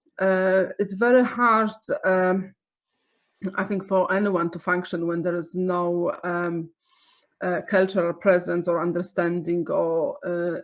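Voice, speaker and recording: Fairly even intonation and a Polish accent mark this very slow delivery. The background stays quiet. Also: woman. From Poland. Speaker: arts nonprofit director. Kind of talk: webinar presentation. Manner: halting, many fillers.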